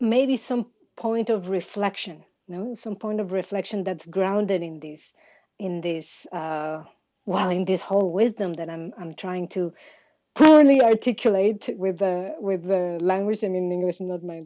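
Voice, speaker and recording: A woman with a Mexican accent speaks at a fairly slow pace and medium pitch. Her loudness swings widely. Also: ordinary pitch variation. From Mexico, highlands of Chiapas. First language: Tzeltal Maya. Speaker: contemplative science researcher. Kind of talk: interview. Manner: halting, many fillers.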